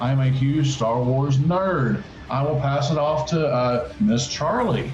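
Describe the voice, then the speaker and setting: A man speaks very slowly at a fairly high pitch, with ordinary pitch variation and very even loudness. Noticeable background noise and audible room echo are present. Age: 40s. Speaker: podcast host. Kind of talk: casual chat. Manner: halting.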